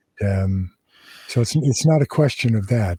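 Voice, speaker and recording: Heard in a very clean recording with a silent background, a man speaks in a dark, mellow, somewhat breathy tone with an American accent. His pace is fairly slow and his pitch varies in an ordinary way. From Southern California. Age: 70s. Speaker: former prison gang leader. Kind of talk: interview. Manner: halting.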